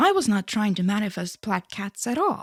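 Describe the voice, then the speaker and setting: A woman with an Estonian accent has a fairly high, somewhat breathy voice. The sound is dry and close, with no echo. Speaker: spirituality YouTuber. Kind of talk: casual monologue. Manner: soft-spoken.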